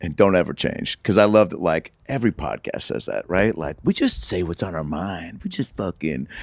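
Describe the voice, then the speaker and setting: A man with an American accent speaks at a moderate pace with hardly any pauses, in a very deep, low pitch with vocal fry. His intonation is lively, and the sound is dry and close with no echo. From US Pacific Northwest (Seattle). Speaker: comedian and actor. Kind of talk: casual chat.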